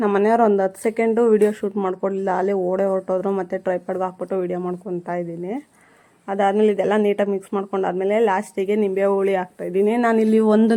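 In a dark, mellow tone, a woman speaks at a medium pitch with monotone, flat intonation. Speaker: home cooking vlogger. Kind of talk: cooking tutorial. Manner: stammers a little.

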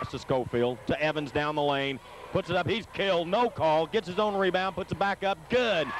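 Recorded dry with no echo but with noticeable background noise, a man speaks at a moderate pace with ordinary pitch variation. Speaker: basketball play-by-play announcer. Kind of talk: live play-by-play sports commentary. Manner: animated, with occasional laughs. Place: hall.

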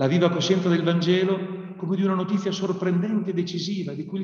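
A man with a high pitch talks at a fairly quick pace with fairly even intonation, audible room echo and a quiet background. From Italy. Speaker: priest and theology lecturer; priest, theology lecturer. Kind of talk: prepared talk. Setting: video call. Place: classroom. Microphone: webcam.

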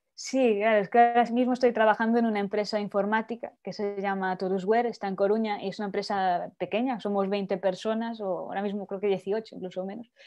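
A woman's medium-pitched voice at a very fast pace, monotone and flat in intonation, with hardly any pauses and a quiet background. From Spain. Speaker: poet. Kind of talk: interview. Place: home room. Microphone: earbuds.

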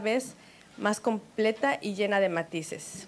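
Talking at a fairly slow pace, a woman with a fairly high pitch and ordinary pitch variation has an unremarkable speaking voice over light background noise. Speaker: co-host. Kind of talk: casual chat. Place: studio. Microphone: handheld.

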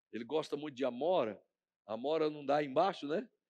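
Against a quiet background, a man talks at a moderate pace, his fairly high pitch showing ordinary pitch variation. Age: 50s. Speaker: pastor. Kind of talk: sermon. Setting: church.

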